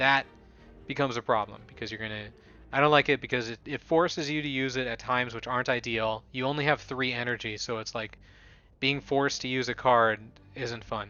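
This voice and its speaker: In a normal speaking voice, a man talks at a fairly quick pace and a medium pitch, with fairly even intonation. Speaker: gaming video creator. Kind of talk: gameplay commentary.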